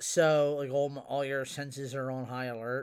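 In a very clean recording with a silent background, a man with a plain, everyday voice speaks at a fairly slow pace and a fairly high pitch. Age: 40s. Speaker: paranormal podcast co-host. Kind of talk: casual chat.

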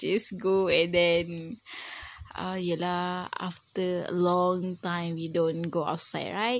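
The speech unfolds at a very slow pace. There is noticeable background noise. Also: woman. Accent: Malaysian. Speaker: university student. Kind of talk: class assignment monologue. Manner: halting.

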